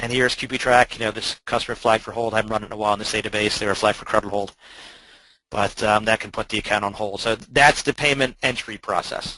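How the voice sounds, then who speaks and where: A man at a very fast pace, fairly low-pitched, bright and sharp in tone, with monotone, flat intonation. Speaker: software trainer presenting a webinar. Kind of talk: webinar presentation. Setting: online webinar.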